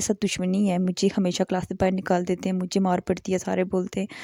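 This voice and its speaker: A woman's strained voice, dark and mellow in tone, comes at a moderate pace in a dry, close sound with no echo on a very clean recording with a silent background. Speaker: vlogger. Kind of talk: vlog voice-over narration. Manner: restrained volume in voice-over.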